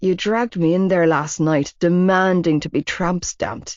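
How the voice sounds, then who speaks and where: Using a put-on character voice, a woman drawls at a moderate pace and fairly low pitch with ordinary pitch variation. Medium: read story. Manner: lazy drawl.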